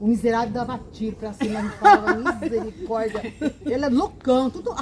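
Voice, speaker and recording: At a moderate pace, a woman with a fairly high pitch and lively intonation speaks amid noticeable background noise and audible room echo. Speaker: grandmother storyteller on a chat channel. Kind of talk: casual group chat. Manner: animated.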